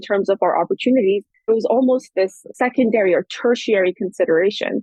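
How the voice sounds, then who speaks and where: A woman with an ordinary speaking voice and an American accent talks at a fairly quick pace, her fairly high pitch showing ordinary pitch variation. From Afghanistan, France, London, then California from teens. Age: 30s. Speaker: anthropologist. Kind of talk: interview.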